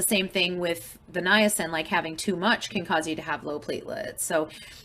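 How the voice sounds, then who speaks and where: A woman with a plain, everyday voice speaks at a medium pitch and moderate pace, with ordinary pitch variation. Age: 40s. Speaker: support group organizer with blood disorder. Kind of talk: group video call discussion. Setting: group call. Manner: casual, filler-heavy.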